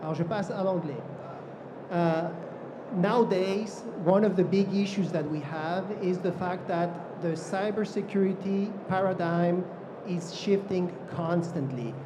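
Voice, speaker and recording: Amid noticeable background noise and audible room echo, a man with a high pitch speaks at a very slow pace, with fairly even intonation and long, frequent pauses. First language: not French (speaking French). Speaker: cybersecurity director. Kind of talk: panel discussion. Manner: halting in French.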